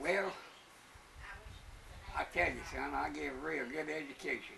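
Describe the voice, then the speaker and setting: Noticeable background noise fills the recording. Against it, a man talks at a moderate speed. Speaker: former prison guard. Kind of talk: interview answer.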